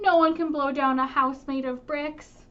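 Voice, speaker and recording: A woman's put-on character voice, high in pitch, at a moderate pace. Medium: read story. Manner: self-satisfied, confident.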